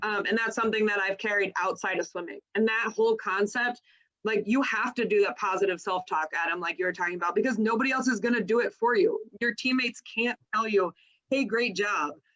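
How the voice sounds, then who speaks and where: A woman talks at a fairly quick pace. Her pitch sits fairly high, with ordinary variation. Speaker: swim coach. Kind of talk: casual chat. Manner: loud.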